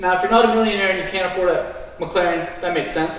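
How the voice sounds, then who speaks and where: Audible room echo and noticeable background noise accompany a man speaking at a high pitch. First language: not English. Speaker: investing show co-host. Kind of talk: scripted presentation segment. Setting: small apartment set.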